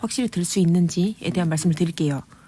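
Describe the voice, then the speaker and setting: A woman's somewhat breathy voice has a dark, mellow tone, captured in a very clean recording with a silent background. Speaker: exam prep coach / channel host. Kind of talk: lecture-style monologue. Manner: fast.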